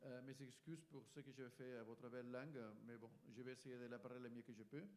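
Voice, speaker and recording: Here is a man with a Spanish accent. He talks at a moderate pace. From Spain. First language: Spanish (speaking French). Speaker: EU communications official. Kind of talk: panel discussion. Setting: forum workshop with live audience.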